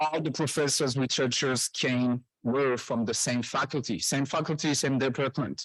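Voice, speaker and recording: On a very clean recording with a silent background, a man with a French accent speaks at a moderate pace and medium pitch, with fairly even intonation, very even loudness and hardly any pauses. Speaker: professor. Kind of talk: conference presentation. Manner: halting.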